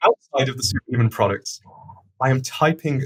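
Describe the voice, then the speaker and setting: Somewhat breathy, a man speaks at a fairly quick pace with a medium pitch. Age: 40s. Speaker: startup founder and CEO. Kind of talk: podcast interview. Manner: fast.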